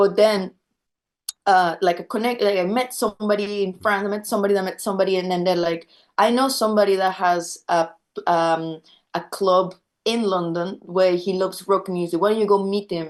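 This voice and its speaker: At a fairly quick pace, a woman speaks with a Spanish accent, her medium pitch following fairly even intonation. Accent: Spanish accent when speaking French. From Venezuela. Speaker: rock musician. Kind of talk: interview. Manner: halting, many fillers and repetitions.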